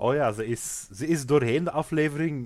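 In a very clean recording with a silent background, a man uses a normal speaking voice at a fairly slow pace with ordinary pitch variation. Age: 20s. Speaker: podcast co-host recapping a TV series. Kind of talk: casual chat.

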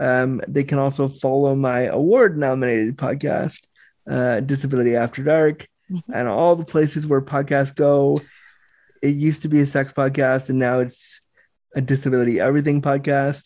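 An unremarkable speaking voice from a man, fairly high in pitch, with fairly even intonation. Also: moderate pace. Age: 30s. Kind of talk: casual interview.

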